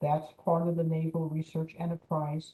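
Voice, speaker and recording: A woman speaks quietly at a moderate pace. Her tone is dark and mellow, and somewhat breathy. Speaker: navy small business official. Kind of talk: presentation. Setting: video call from home.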